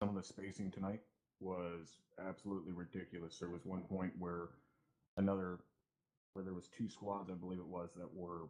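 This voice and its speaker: Soft-spoken and monotone, a man talks with a very deep, low pitch and a dark, mellow tone in flat intonation. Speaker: milsim gamer, first sergeant role. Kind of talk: mission debrief.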